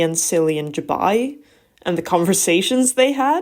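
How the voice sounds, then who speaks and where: The woman's intonation is lively, and she speaks at a fairly slow pace. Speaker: book reviewer. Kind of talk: book review, scripted voiceover.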